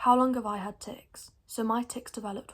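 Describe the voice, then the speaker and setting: The woman's delivery is fairly quick and somewhat breathy. Her intonation stays monotone and flat. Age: young, 19. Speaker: vlogger with Tourette syndrome. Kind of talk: informational vlog. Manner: involuntary vocal tics, squeaky grunts.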